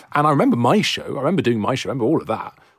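Noticeable background noise surrounds a man who talks at a very fast pace. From Wales. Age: 30s. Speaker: podcast host. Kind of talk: interview.

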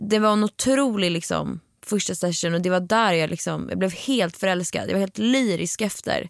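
An ordinary speaking voice moves at a moderate pace with hardly any pauses and ordinary pitch variation. The recording is very clean, with a silent background. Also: woman, medium pitch for a woman. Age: 20s. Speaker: singer-songwriter podcast co-host. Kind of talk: casual chat.

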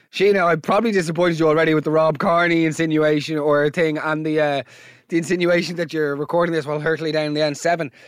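A man with an Irish accent speaks very fast in a fairly high pitch, on a very clean recording with a silent background. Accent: Irish brogue. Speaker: podcast host. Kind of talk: comedic monologue and listener voice note reactions. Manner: animated.

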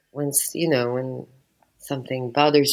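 The speech comes at a fairly slow pace with a French accent. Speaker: interview guest. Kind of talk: casual interview chat. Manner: hesitant, many fillers.

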